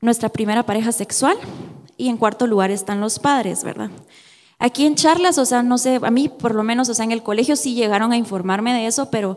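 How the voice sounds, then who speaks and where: Pitch shifts in an ordinary way. The speech goes at a fairly quick pace. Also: woman. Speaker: youth church speaker. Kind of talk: sermon. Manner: halting.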